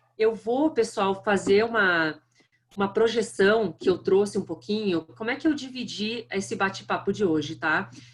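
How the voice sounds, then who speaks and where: With a strong southern Brazilian accent, a woman speaks at medium pitch and a moderate pace. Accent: thick southern Brazilian. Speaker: marketing executive. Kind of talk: lecture.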